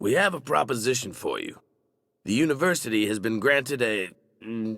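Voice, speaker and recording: A raspy put-on character voice. It moves at a moderate pace. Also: man, medium pitch for a man. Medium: video game. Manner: rambling, digressive.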